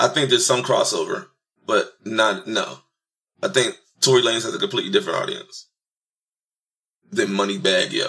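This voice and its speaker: Over a quiet background, a man speaks at a fairly quick pace. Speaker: podcast co-host. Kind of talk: casual podcast debate. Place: home room. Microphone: studio mic.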